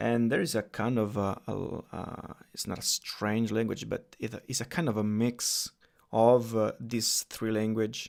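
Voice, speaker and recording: Speaking at a fairly slow pace, a man with an Italian accent keeps a medium pitch and fairly even intonation. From Italy. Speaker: coding YouTuber. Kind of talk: live stream tutorial with Q&A. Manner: casual, hesitant with fillers.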